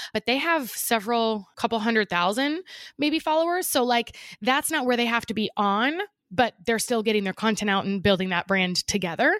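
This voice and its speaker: Recorded very cleanly against a silent background, a woman's fairly high voice carries lively intonation in a dry, close sound with no echo. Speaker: podcast co-host. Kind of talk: casual chat. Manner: fast.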